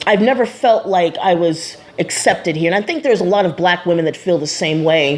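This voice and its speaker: A woman at a moderate pace, lively in intonation, with noticeable background noise. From USA. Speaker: vlogger. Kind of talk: personal vlog monologue. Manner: casual, many fillers and repetitions.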